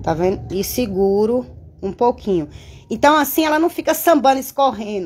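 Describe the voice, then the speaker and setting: With a Bahian accent, a woman speaks at a moderate pace in a high, animated voice with lively intonation. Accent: Bahian Brazilian Portuguese. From interior of Bahia, Brazil. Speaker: bow-making artisan and craft YouTuber; craft YouTuber. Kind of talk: live-stream craft tutorial and chat. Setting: home studio. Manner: animated, chatty. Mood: animated, venting at times. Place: workshop. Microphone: phone near.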